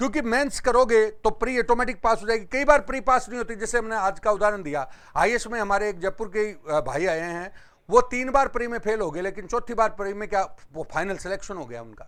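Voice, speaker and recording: In a Rajasthani accent, the voice shows ordinary pitch variation and big swings in loudness, on a very clean recording with a silent background. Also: man, high pitch for a man, moderate pace. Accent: Jhunjhunu regional Hindi. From Rajasthan, Jhunjhunu district. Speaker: exam coaching teacher. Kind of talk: lecture.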